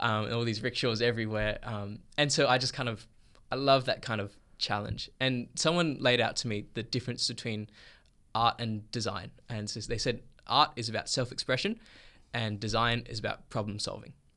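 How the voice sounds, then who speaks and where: Against a quiet background, a man speaks at a medium pitch and a moderate pace in an Australian accent. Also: fairly even intonation. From Perth, Australia. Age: 20s. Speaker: filmmaker and photographer. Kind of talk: interview.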